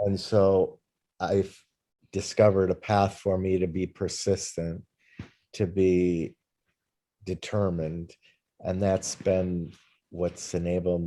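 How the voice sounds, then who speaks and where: The voice has a dark, mellow tone and monotone, flat intonation at a very slow pace. Long, frequent pauses break it up in a very clean recording with a silent background. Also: man. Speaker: film and TV producer. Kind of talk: interview. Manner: loud.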